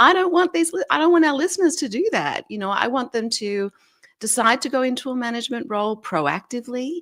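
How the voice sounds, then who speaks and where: A woman's Australian accent, fairly quick, with very wide pitch swings and a dry, close sound free of echo. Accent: Australian, noticeable. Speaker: leadership expert and author. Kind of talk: interview.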